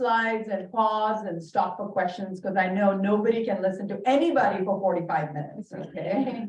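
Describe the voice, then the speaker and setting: With an Indian accent, a woman speaks at a moderate pace. Her pitch is fairly high. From Bahrain, Indian family. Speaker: dermatologist. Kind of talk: lecture.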